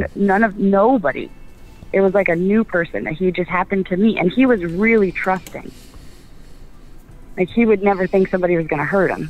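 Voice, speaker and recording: A fairly quick pace over music in the background. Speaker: caller to live show. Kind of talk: phone-in call. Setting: phone line.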